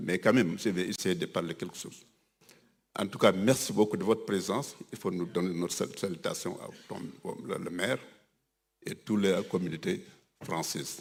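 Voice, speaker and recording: Pausing long and often, a man with a fairly low pitch talks at a moderate pace, with ordinary pitch variation and big swings in loudness. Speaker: religious community leader. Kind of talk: ceremony speech. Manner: halting.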